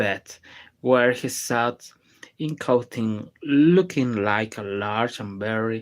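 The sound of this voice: Unforced reading voice, pitch varying in an ordinary way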